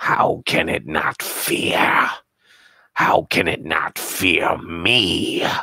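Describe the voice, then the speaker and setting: Very slowly, a man growls in a put-on character voice at a very deep, low pitch. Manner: speaking through clenched teeth.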